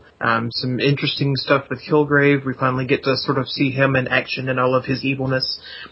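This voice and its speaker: Noticeable background noise sits behind a man of medium pitch. He talks at a fairly quick pace, monotone and flat, with hardly any pauses. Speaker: podcast guest, fan. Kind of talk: casual chat.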